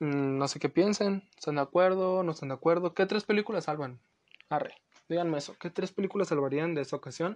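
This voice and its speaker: A man speaks with a Mexican accent at a fairly high pitch, using ordinary pitch variation. The sound is dry and close with no echo, over a quiet background. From Los Angeles, US; lives in Mexico. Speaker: podcast host. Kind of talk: casual solo podcast talk.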